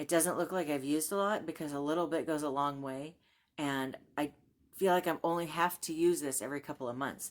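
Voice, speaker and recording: A woman's very deep, low voice at a fairly quick pace, with fairly even intonation and long, frequent pauses, on a very clean recording with a silent background. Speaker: YouTube reviewer and book/haul vlogger. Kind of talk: casual talk to camera. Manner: friendly, chatty.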